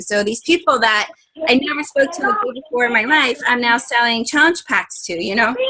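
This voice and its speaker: The voice has a bright, sharp tone, ordinary pitch variation and a moderate pace. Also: woman. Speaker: health and fitness coach leading team training. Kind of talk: coaching training call. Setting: conference call, recorded.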